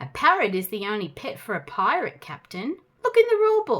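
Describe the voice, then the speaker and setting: A woman uses a put-on character voice at an extremely high pitch, moving at a fairly quick pace. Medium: read story.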